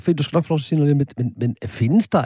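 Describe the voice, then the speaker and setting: A man's somewhat breathy voice with a dark, mellow tone, dry and close with no echo, in a very clean recording over a silent background. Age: 50s. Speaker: radio host. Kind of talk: casual chat; scripted narration. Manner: halting.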